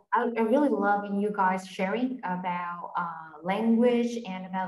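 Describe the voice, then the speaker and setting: The voice holds a fairly even intonation, with audible room echo over a quiet background. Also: woman. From Vietnam. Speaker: webinar moderator. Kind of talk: panel interview. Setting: video call. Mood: warm, cheerful. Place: home room. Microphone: video call.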